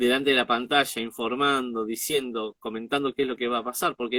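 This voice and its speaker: A man speaks with an Argentine accent. His pitch is medium. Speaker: interviewer and show host. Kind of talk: interview question.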